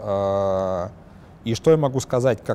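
A man talks in a dark, mellow tone, his pitch varying in an ordinary way.

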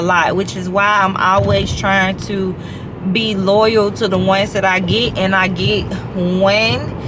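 Noticeable background noise runs behind the recording. A woman speaks at a fairly slow pace. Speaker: vlogger. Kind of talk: casual vlog chat. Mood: relaxed, upbeat. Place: car. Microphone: phone near.

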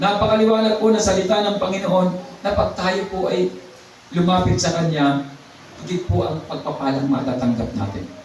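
Over noticeable background noise, a man talks at a moderate pace in a high, animated voice with lively intonation. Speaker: preacher. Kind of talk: sermon. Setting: church. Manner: animated, exhortative preaching with praise interjections.

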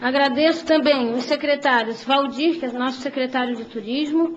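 A woman with a high-pitched voice speaks at a moderate pace amid noticeable background noise. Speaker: mayor. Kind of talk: formal public hearing speech.

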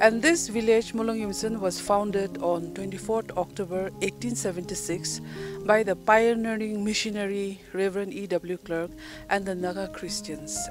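A woman speaks at a moderate pace with clear music in the background and a dry sound with no echo. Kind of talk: interview answer. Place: open country. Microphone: handheld.

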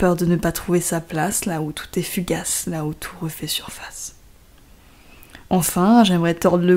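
Her voice fairly low with a dark, mellow tone, a woman speaks at a fairly slow pace. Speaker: poet reading her own poem. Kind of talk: poetry reading.

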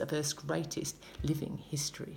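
A woman speaks in an animated tone at a moderate pace, her pitch very deep and low with vocal fry. Light background noise sits behind her. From Australia. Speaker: spoken word poet. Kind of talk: spoken word poetry performance. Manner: rhythmic, emphatic, politically charged delivery; animated, pointed, sarcastic in places. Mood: passionate, indignant. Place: home room. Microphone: phone near.

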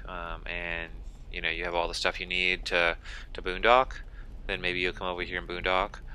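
A man speaks at a moderate pace in a flat monotone, his bright, sharp voice dry with no echo over light background noise. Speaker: campground reviewer. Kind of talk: casual vlog commentary. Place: car.

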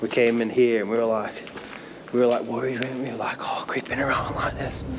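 A man talks fairly quickly while noticeable noise runs in the background. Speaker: urban explorer vlogger. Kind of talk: casual vlog chat. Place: factory. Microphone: phone near.

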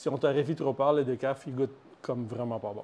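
Speaking with a Quebec accent, a man keeps a medium pitch, fairly even intonation and a moderate pace. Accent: Québécois French. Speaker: coffee company co-founder. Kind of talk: casual chat.

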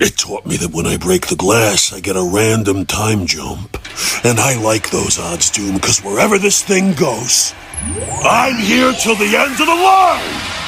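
A man talks at a moderate pace in a put-on character voice, with clear background noise behind him. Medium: fan dub. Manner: brash, cocky, taunting; urgent, shouting.

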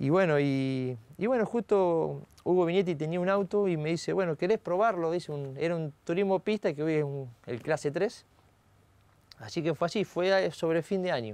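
A man with a high pitch talks with ordinary pitch variation in a dry sound with no echo. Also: moderate pace. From Argentina, Salto, Buenos Aires province; Buenos Aires province, Argentina. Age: 40s. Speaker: racing driver; guest. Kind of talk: interview. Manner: halting, many fillers. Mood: relaxed, reflective, smiling. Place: studio. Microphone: lapel.

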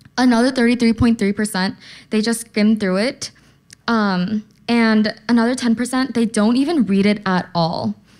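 Against a quiet background, a woman with a fairly high pitch speaks at a very slow pace, her loudness very even. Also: fairly even intonation. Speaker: conference speaker. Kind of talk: conference talk. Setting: stage with audience. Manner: casual, uses slang. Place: hall. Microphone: podium.

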